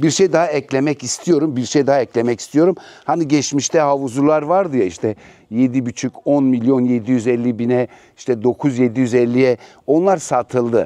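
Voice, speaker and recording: Medium-pitched man with a dark, mellow tone, ordinary pitch variation, very even loudness and a moderate pace, in a dry, close sound with no echo. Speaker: real estate agent. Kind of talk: property tour. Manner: casual, chatty.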